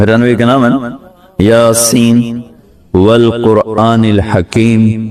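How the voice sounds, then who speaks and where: A man's medium-pitched voice stays monotone and flat as noticeable background noise runs behind it. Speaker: Islamic preacher. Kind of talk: Islamic sermon.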